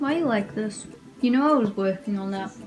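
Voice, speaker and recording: A woman with an Australian accent mumbles at a fairly quick pace in a fairly high voice with ordinary pitch variation, music playing in the background. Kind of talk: casual sewing vlog talk to camera. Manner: mumbling.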